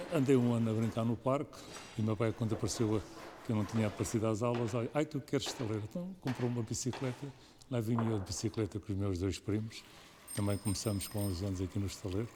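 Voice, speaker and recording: A man speaks at a very fast pace, somewhat breathy, with a dark, mellow tone. His medium pitch shows ordinary variation. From Portugal, Tagus south bank (Montijo area). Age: 70s. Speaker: shipwright. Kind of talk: documentary interview. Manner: hesitant, with repetitions.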